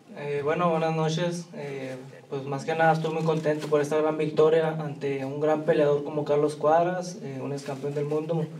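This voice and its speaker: Hardly pausing, a man rushes at a very fast pace in a flat monotone at a fairly high pitch, with audible room echo and noticeable background noise. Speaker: professional boxer. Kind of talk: press conference.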